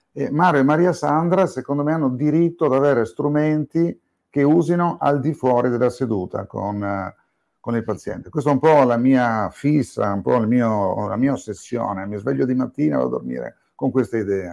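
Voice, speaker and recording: A man speaks in an unremarkable speaking voice at a medium pitch, with lively intonation. The background is quiet. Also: moderate pace. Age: 60s. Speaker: psychiatrist and psychotherapist. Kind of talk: interview podcast.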